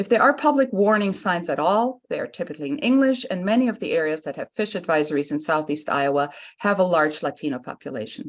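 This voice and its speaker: Against a quiet background, a woman talks at a very fast pace with hardly any pauses and very wide pitch swings. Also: medium pitch for a woman. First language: Spanish. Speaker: public commenter. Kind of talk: public hearing testimony.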